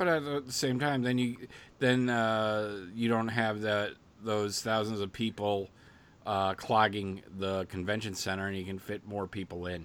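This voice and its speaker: On a very clean recording with a silent background, a man speaks in an ordinary speaking voice. His pitch is fairly low with ordinary variation, and his pace is fairly slow. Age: 50s. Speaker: podcast co-host. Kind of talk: casual chat.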